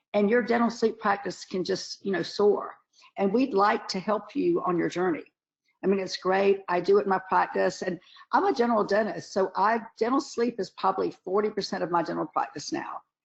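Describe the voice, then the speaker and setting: With a Southern US accent, a woman talks at a fairly quick pace. Her pitch is medium and varies in an ordinary way. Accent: Southern US (Georgia). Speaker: dentist and webinar lecturer. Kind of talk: webinar lecture. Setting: online webinar, camera off. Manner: casual, chatty with many fillers.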